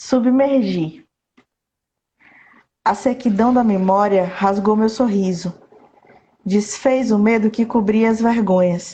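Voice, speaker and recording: With long, frequent pauses, a somewhat breathy woman of fairly high pitch speaks at a very slow pace, her loudness very even and her pitch variation ordinary. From southern Bahia, Brazil (Itabuna). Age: 30s. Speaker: poet. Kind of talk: casual interview chat; poetry reading. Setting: Instagram live video call.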